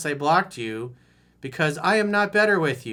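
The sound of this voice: Using a put-on character voice, a man speaks fairly high at a moderate pace.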